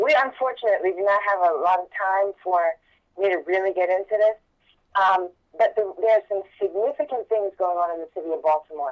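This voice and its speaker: Talking at a fairly quick pace, a woman has an ordinary speaking voice at medium pitch with ordinary pitch variation. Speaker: political candidate. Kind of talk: political interview.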